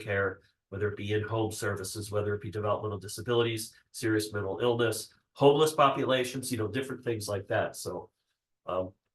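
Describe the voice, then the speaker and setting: A man's somewhat breathy, fairly low voice at a very fast pace over a quiet background. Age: 60s. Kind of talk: workshop presentation. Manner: hesitant with frequent fillers.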